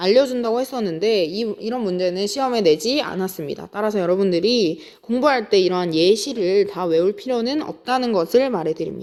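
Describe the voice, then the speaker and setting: A woman with an unremarkable speaking voice talks at a moderate pace, her fairly high pitch carried by lively intonation. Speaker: high school science teacher. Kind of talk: lecture.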